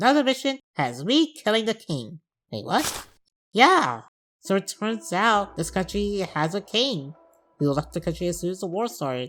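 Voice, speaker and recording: Very wide pitch swings run through this moderately paced speech, captured in a very clean recording with a silent background. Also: woman, medium pitch for a woman. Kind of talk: comedic game review narration. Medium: machinima. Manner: wry, sarcastic.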